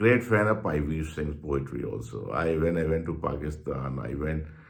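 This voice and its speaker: In a Punjabi accent, a man talks at a fairly slow pace with lively intonation. His pitch is very deep and low, and room echo is audible. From Punjab, India. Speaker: journalist and channel host. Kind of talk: personal reminiscence monologue. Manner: halting, with repetitions.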